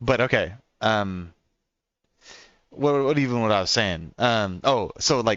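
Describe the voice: In a slight Oklahoma accent, a man with a fairly low, fairly bright voice speaks at a fairly slow pace with ordinary pitch variation. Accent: American, light Oklahoma country twang.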